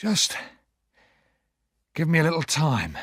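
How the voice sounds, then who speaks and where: A man puts on a gruff character voice, fairly high for a man, with a weary tone. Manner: quiet, weary.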